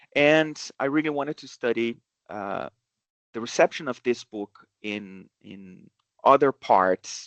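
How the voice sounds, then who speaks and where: A man with a Brazilian accent speaks at a very slow pace, his intonation lively and his loudness swinging widely. The sound is dry and close with no echo, over a quiet background. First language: Portuguese. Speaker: professor. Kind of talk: academic seminar talk. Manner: halting, many fillers.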